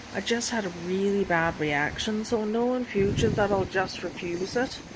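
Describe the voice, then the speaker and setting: A woman's medium-pitched voice, with ordinary pitch variation, is heard against noticeable background noise. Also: moderate pace. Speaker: chronically ill patient. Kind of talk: casual talk to camera.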